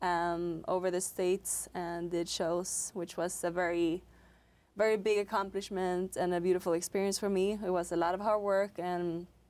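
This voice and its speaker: Speaking at a moderate pace and medium pitch, a woman keeps a flat, monotone intonation in a very clean recording with a silent background. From Sweden. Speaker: professional salsa dancer, guest host. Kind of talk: casual interview.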